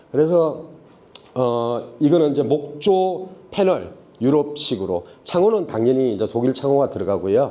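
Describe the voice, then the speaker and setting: A man's fairly high, dark and mellow voice at a fairly slow pace, with very wide pitch swings, very even loudness, and audible room echo. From Daegu, South Korea. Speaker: construction company CEO. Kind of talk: seminar presentation. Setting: stage at trade expo seminar. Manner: casual, conversational.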